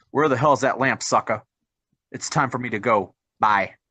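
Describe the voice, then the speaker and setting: A man puts on a character voice at a medium pitch. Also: moderate pace. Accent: New York. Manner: impatient, gruff.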